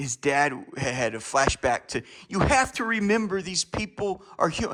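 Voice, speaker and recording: Raising and projecting his voice, a man speaks at a high pitch and a fairly slow pace with very wide pitch swings. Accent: American. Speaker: vlogger. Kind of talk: casual monologue. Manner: halting, stammering.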